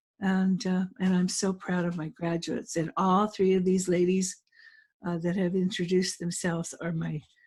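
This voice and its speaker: Somewhat breathy and set at medium pitch, a woman's voice moves at a moderate pace with monotone, flat intonation. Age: 70s. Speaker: notary trainer and business owner. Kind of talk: webinar panel introduction. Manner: halting.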